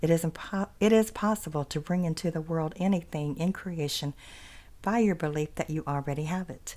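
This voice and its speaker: A woman talks at a fairly quick pace in a normal speaking voice. Her pitch is fairly low, with ordinary pitch variation. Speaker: ASMR creator. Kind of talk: ASMR reading of an inspirational text.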